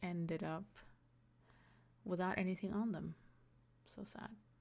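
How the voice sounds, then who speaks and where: With a non-native accent, a woman speaks at a medium pitch and fairly even intonation in a very clean recording with a silent background. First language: not English. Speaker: gaming YouTuber. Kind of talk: casual voice-over commentary.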